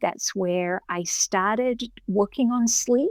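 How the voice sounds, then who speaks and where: A woman with an Australian accent speaks at a fairly high pitch and a fairly slow pace with ordinary pitch variation, the sound dry and close with no echo on a very clean recording with a silent background. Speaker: professor and clinical psychologist. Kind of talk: interview.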